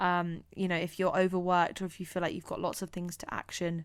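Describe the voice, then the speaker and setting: On a very clean recording with a silent background, a woman with a fairly low pitch talks at a fairly quick pace. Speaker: podcast host. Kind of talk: solo podcast monologue. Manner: halting.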